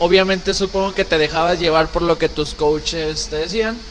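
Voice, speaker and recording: The man's pitch is high. Noticeable background noise sits under his voice. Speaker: podcast host, nutritionist and trainer. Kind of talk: casual chat.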